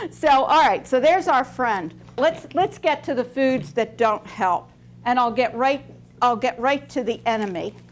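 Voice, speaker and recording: A woman's high-pitched voice, animated in tone, with lively intonation at a moderate pace. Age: 60s. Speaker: registered dietitian speaker. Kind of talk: talk to young audience.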